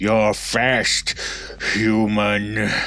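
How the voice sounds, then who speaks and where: Using a put-on character voice, a man delivers a menacing tone in a fairly low pitch over noticeable background noise. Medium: audio drama. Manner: menacing, clipped and contemptuous.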